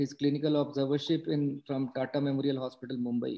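Against a quiet background, a man speaks in monotone, flat intonation. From India. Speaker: occupational health physician; webinar host, moderator. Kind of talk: webinar moderation. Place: home room. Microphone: video call.

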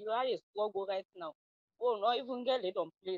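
Woman with a Sierra Leonean accent at a moderate pace, dry sound with no echo, quiet background. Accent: Sierra Leonean Krio-accented English. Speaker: reality show contestant. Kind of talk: audition interview.

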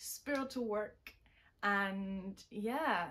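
A woman with a German accent and ordinary pitch variation. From Germany, Bavaria. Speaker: sculptor and special makeup effects artist. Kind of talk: channel introduction. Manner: giggly, frequent laughter; halting with fillers. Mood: warm, friendly, upbeat. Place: workshop.

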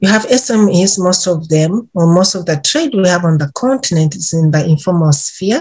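A woman's somewhat breathy voice, fairly low in pitch, with ordinary pitch variation and a dark, mellow tone. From Uganda. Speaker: intellectual property policy advisor. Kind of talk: podcast interview answer. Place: office. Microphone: webcam.

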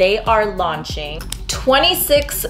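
A woman talks at a very slow pace with clear music in the background. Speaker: beauty vlogger. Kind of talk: casual vlog chat. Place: home room. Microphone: camera far.

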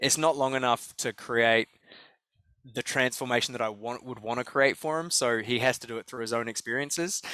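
Speaking with a New Zealand accent at a fairly quick pace, a man has a bright, sharp tone in a dry sound with no echo against a quiet background. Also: fairly even intonation. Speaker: life coach and speaker; life coach, speaker. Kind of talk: interview. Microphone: headset.

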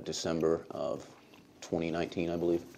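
A man talks at a moderate pace with very deep, low pitch and a dark, mellow tone. Light background noise is present. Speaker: media host giving deposition. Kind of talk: deposition testimony. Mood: measured, somewhat guarded. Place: meeting room.

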